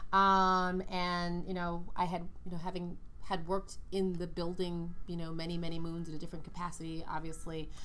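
Monotone, flat delivery in an American accent at a moderate pace, with audible room echo. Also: woman, fairly low pitch for a woman. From New York, Brooklyn. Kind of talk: interview.

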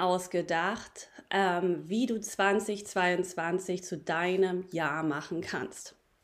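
A woman speaks very slowly at a medium pitch with ordinary pitch variation. The recording is very clean and the background silent. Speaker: podcast host. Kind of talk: pep talk. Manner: animated, upbeat and encouraging; warm, addressing listeners directly as friends.

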